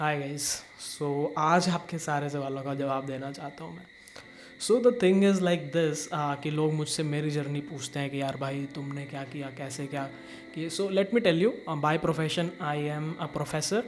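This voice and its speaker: A man speaks with a fairly high pitch. There is music in the background. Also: ordinary pitch variation. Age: 20s. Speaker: YouTuber and assistant professor. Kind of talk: casual personal vlog. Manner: casual Hindi-English code-switching with fillers.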